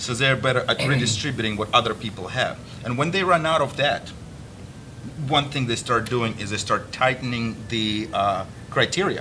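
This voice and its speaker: A man with a Russian accent, medium pitch and ordinary pitch variation, at a moderate pace, over noticeable background noise. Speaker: army veteran, interview host. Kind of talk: interview. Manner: halting.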